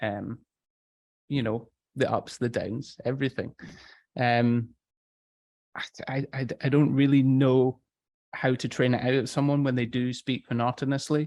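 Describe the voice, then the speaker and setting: Soft-spoken and medium in pitch, a man talks with monotone, flat intonation and long, frequent pauses. The sound is dry and close with no echo. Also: moderate pace. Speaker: storytelling and voice coach. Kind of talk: interview.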